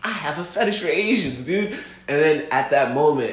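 A man at a moderate pace, with audible room echo. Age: 20s. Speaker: brand ambassador and filmmaker. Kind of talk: casual chat.

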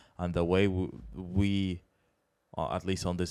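Monotone, flat intonation at a fairly slow pace, in a very clean recording with a silent background. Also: man. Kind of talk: casual banter.

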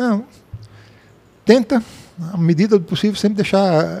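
The intonation of this man's voice is lively. He talks at a moderate pace. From Blumenau, southern Brazil. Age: 60s. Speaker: retired software company founder. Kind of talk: interview.

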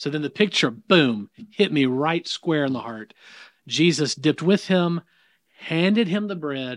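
A man with a slight Southern US accent talks at a fairly high pitch and a fairly slow pace, with lively intonation. The recording is very clean, with a silent background and a dry, close sound with no echo. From US South. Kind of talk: casual conversation about faith.

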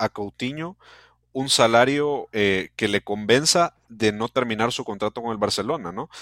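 A man speaks at a medium pitch with ordinary pitch variation and a normal speaking voice. The recording is very clean with a silent background and a dry, close sound with no echo. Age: 20s. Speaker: football podcast host. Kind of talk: casual interview.

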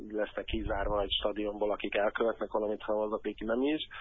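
A man speaks at a medium pitch. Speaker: anti-racism football activist. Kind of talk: interview. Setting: phone call. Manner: halting.

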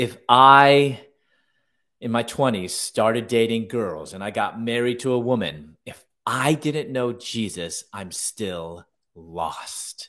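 Very slow in pace, the speech has big swings in loudness, ordinary pitch variation and a bright, sharp tone in an American accent, on a very clean recording with a silent background. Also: man, medium pitch for a man. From US Midwest, Chicago. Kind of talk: interview conversation.

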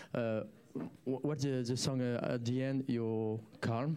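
A dark, mellow tone carries speech delivered at a very slow pace. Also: man. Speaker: live music show host. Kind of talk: casual live interview. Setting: live studio stream with bar. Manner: halting, hesitant.

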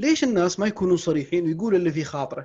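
A man speaks at a very fast pace with a somewhat breathy voice and ordinary pitch variation. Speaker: podcast host and book-summary YouTuber. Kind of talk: casual chat.

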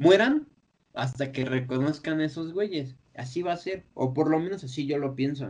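A man with a Mexican accent, fairly high in pitch, at a moderate pace and with lively intonation. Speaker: podcast host. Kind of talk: casual chat.

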